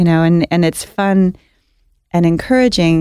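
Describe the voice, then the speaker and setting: A woman with an American accent speaks in a fairly low pitch. Her tone is dark and mellow. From Southern California. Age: 40s. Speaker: pastry chef and restaurant owner. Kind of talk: interview. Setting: studio.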